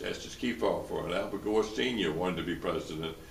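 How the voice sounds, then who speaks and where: Through audible room echo and noticeable background noise, a man talks at a very fast pace with a Tennessee accent and ordinary pitch variation. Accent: US Southern (Tennessee). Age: 80s+. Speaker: lawyer and former publisher. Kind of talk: interview. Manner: halting, many repetitions.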